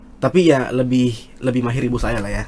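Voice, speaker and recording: Speaking at a fairly slow pace with fairly even intonation, a man with a medium pitch talks in a strong South Sulawesi accent. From South Sulawesi, Indonesia. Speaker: student leader. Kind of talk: casual podcast interview. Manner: loud; halting, many fillers.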